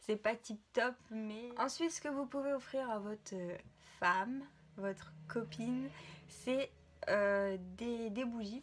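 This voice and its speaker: A woman with a fairly high pitch speaks very slowly. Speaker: vlogger. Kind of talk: casual vlog. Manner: hesitant, many fillers.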